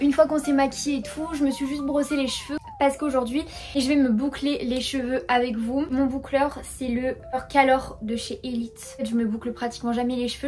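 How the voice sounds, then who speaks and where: Over noticeable background noise, a woman speaks at a fairly quick pace in a high voice. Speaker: beauty youtuber. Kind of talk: casual chat. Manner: fast; animated.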